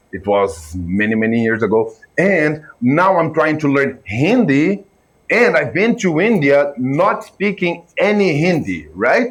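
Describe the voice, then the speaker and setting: A man talks at a fairly slow pace while his pitch swings very widely. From Brazil. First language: Portuguese. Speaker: filmmaker and reaction video creator. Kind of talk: reaction video commentary. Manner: casual, animated.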